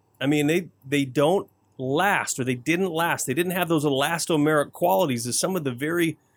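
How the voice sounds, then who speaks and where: A man with an American accent speaks in a normal speaking voice, fairly high-pitched for a man, on a very clean recording with a silent background. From Flint, Michigan, US. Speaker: home improvement radio show co-host. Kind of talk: casual chat.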